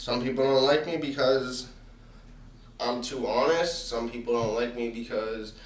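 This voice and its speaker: Noticeable background noise and audible room echo surround a man speaking with fairly even intonation. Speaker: podcast host. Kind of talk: solo monologue podcast. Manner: casual, many fillers.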